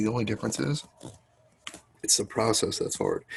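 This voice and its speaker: A man is speaking. He is soft-spoken. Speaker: math teacher. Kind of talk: lecture. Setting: home, sitting in a corner.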